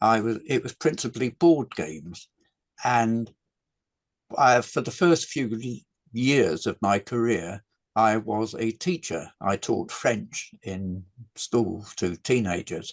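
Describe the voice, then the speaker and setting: A man with an English accent talks at a very slow pace and medium pitch. His intonation is lively, and the sound is dry and close with no echo. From England. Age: 80s+. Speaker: game designer. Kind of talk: interview. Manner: halting.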